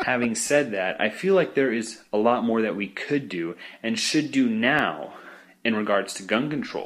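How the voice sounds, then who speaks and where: With lively intonation, a man with an American accent speaks at a moderate pace and medium pitch. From Idaho, Boise. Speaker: podcast listener. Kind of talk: voicemail message. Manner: hesitant, with fillers.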